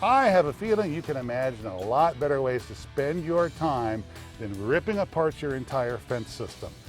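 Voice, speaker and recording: A man talks at medium pitch and a moderate pace, in an upbeat tone. His pitch swings very widely, and music plays in the background. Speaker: home improvement expert and TV presenter. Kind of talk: TV commercial read.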